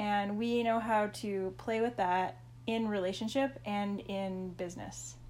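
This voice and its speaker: A woman with a Canadian accent speaks at a fairly slow pace amid audible room echo. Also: medium pitch for a woman, ordinary pitch variation. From Saskatchewan, Canada. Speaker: health and relationship coach, podcast co-host. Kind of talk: casual chat. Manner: animated.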